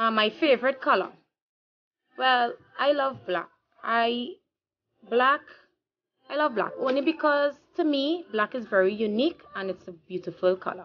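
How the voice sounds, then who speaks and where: In a Trinidadian accent, a woman with a high pitch speaks at a moderate pace with lively intonation. She takes long, frequent pauses over light background noise. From Trinidad and Tobago. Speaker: vlogger. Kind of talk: casual vlog monologue. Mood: relaxed, cheerful. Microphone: phone near.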